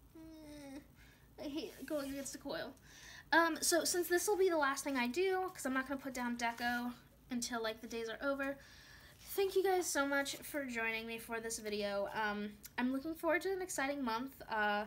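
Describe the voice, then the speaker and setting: Her intonation lively, the woman keeps her voice at a high pitch. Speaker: planner vlogger and shop owner. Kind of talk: casual plan-with-me vlog. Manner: fast, wired.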